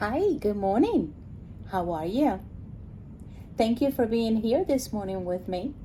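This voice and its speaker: Pausing long and often at a fairly slow pace, a woman speaks in a fairly high, somewhat breathy voice with a dark, mellow tone and very wide pitch swings. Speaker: meditation guide. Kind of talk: casual talk to camera.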